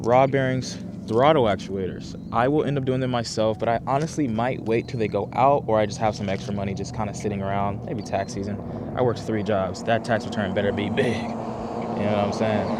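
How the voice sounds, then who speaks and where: A man at a fairly quick pace with ordinary pitch variation, amid audible room echo and noticeable background noise. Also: medium pitch for a man. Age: 20s. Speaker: car vlogger. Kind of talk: casual vlog talk to camera. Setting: outdoors. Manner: fast.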